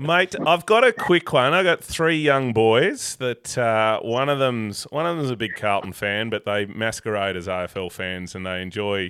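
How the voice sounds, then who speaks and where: Speaking at a medium pitch, a man swings very widely up and down in tone. He goes at a fairly slow pace with hardly any pauses. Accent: Australian. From Tasmania, Australia (Avoca). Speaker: podcast host. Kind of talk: casual interview.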